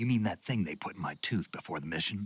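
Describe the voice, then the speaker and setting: A man uses a growling, put-on character voice at a fairly low pitch. He talks at a very fast pace. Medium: video game. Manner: terse, dry.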